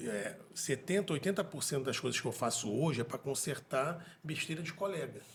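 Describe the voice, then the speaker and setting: A man talks with lively intonation and a somewhat breathy quality. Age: 40s. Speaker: dentist and podcast co-host. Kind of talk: casual interview conversation.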